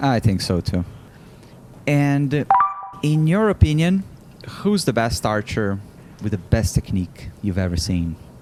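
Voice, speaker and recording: A man's medium-pitched voice at a fairly slow pace, with very wide pitch swings, long, frequent pauses and music in the background. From Brazil. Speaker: podcast host, Olympic archer. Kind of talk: podcast interview.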